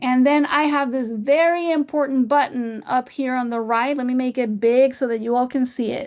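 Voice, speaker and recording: In a slight Spanish accent, a high-pitched woman speaks at a moderate pace with fairly even intonation. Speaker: music education trainer, former orchestra teacher. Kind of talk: webinar tutorial.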